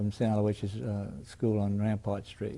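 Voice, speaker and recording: This man speaks with a New Orleans accent at a moderate pace, his tone dark and mellow. The recording is very clean, with a silent background. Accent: New Orleans Southern US. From New Orleans, Louisiana. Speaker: retired attorney. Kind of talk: oral history interview. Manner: halting, frequent fillers and restarts.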